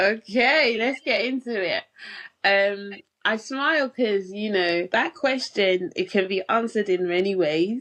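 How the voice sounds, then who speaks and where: Speaking in a British accent, a woman talks at a fairly slow pace. Her voice is fairly high, with lively intonation. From England, London. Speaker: pharmacist and health coach. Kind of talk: podcast interview. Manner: hesitant, many fillers.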